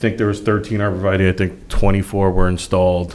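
The speech moves at a fairly slow pace with fairly even intonation over light background noise. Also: man. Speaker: site planning consultant. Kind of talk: presentation at public meeting. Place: meeting room. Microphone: podium.

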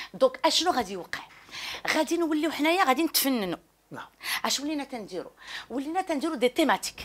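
The woman's speech moves at a fairly quick pace. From Morocco. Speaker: academic researcher and literary salon host; literary salon host. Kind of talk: interview. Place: home room.

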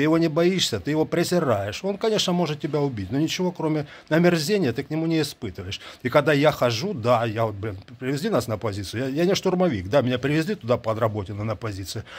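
At a very fast pace, a man talks in a fairly high pitch with very wide pitch swings. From Ukraine. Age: 50s. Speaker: soldier and video blogger. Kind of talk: monologue answering viewer questions. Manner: animated. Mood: earnest, emotional, contemptuous of enemy. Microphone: earbuds.

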